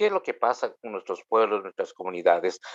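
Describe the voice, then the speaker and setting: A man speaks with a Guatemalan accent. The background is quiet. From Guatemala, Maya K'iche'. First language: K'iche' (speaking Spanish). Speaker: Anglican priest. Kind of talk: interview. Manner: hesitant, with many fillers.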